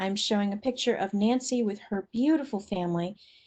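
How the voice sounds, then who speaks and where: The voice is somewhat breathy, with ordinary pitch variation against a quiet background. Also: woman. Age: 60s. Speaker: webinar presenter on kidney disease. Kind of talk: educational webinar presentation.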